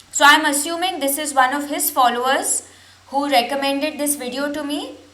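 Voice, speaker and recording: High-pitched, a woman's voice comes through with audible room echo and noticeable background noise. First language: not English. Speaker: reaction video creator. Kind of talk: reaction commentary.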